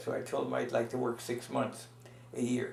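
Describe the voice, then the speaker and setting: A man with a medium-pitched voice talks at a moderate pace, and audible room echo surrounds him. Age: 80s+. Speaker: retired pediatrician interviewed about family history. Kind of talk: oral history interview. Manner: halting, many fillers.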